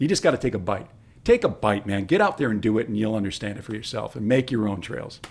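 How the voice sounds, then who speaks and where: A man's fairly low voice with a Michigan accent, animated in tone, with ordinary pitch variation and a very fast pace. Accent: Midwestern US (Michigan). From Detroit, Michigan. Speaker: former radio host, trail club president, realtor. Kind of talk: casual interview chat.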